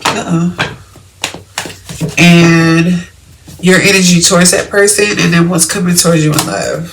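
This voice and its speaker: The speech is loud and comes at a fairly slow pace, broken by long, frequent pauses. Noticeable background noise sits behind it. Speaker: tarot reader. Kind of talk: tarot reading. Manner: trying to talk loudly. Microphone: may be too quiet, volume boosted in edit.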